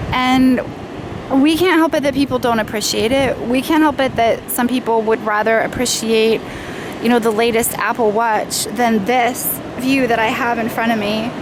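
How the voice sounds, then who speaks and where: A woman's high-pitched voice at a moderate pace, with very even loudness and fairly even intonation, over noticeable background noise. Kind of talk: casual unscripted vlog monologue. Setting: outdoors on a beach.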